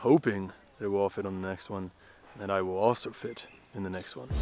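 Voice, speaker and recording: Over background music, a man with a fairly low voice talks very fast, his loudness swinging widely in a dry sound with no echo. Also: ordinary pitch variation. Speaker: travel vlogger. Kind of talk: casual vlog chat. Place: street. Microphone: phone near.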